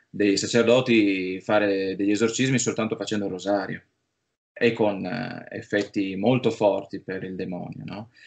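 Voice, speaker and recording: Against a quiet background, a man uses an ordinary speaking voice, fairly low in pitch, with fairly even intonation. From Friuli, north-east Italy; Italy. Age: 30s. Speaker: film producer; interviewee. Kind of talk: interview. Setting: remote call. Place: home room. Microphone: video call.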